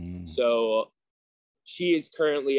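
A man speaks at a very slow pace with ordinary pitch variation. The sound is dry with no echo, and the background is quiet. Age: 30s. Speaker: gym owner; guest. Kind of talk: casual chat. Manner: halting. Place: gym. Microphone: video call.

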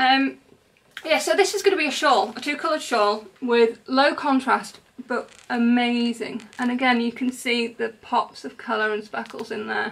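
Moderate pace and ordinary pitch variation from a woman with a high pitch. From England. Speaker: crochet designer and podcaster; podcaster. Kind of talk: casual haul video monologue. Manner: animated. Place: home room. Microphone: camera far.

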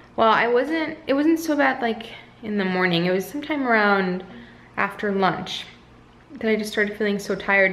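A woman talks at a moderate pace with lively intonation. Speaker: mother vlogger. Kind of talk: casual vlog chat. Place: home room. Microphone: phone near.

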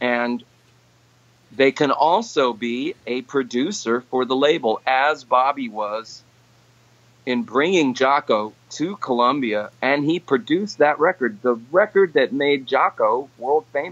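In a normal speaking voice, a man with fairly high pitch and lively intonation talks at a fairly slow pace, with a dry, close sound and no echo. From New York City, the Bronx (Puerto Rican family). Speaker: session and touring guitarist. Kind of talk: casual interview. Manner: conversational with fillers.

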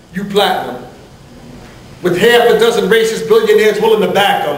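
There's audible room echo as the speaker talks at a fairly quick pace with ordinary pitch variation. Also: man, high pitch for a man. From Newark, New Jersey; New Jersey. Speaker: spoken word poet. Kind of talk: spoken word performance. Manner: rhythmic.

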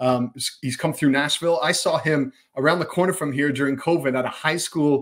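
Here a man talks at a moderate pace with a fairly high pitch. His intonation is fairly even, and the background is quiet. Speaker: soccer broadcast analyst. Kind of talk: casual sports podcast chat. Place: home room.

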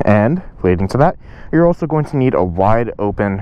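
A man with a fairly low pitch and a normal speaking voice talks at a moderate pace in a dry sound with no echo. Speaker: motorcycle riding instructor. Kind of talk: tutorial. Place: street. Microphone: lapel.

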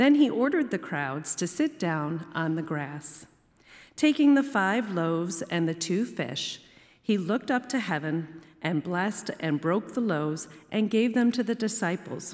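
A woman at a fairly slow pace, with very wide pitch swings. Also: medium pitch for a woman. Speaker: lector. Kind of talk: scripture reading aloud. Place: church. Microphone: podium.

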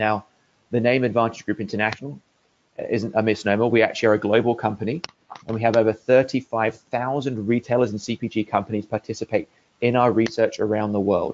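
A man with an English accent, medium pitch, fairly even intonation and a fairly quick pace. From England. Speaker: market research executive. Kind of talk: webinar presentation.

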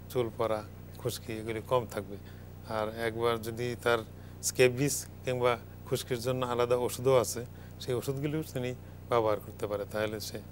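Light background noise sits behind a man speaking at medium pitch with monotone, flat intonation. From Bangladesh. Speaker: medicine professor. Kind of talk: live TV health talk. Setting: studio. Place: studio. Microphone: lapel.

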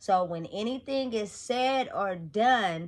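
The setting is quiet. A woman talks at a fairly slow pace. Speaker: motivational vlogger. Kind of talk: casual vlog chat. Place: home room.

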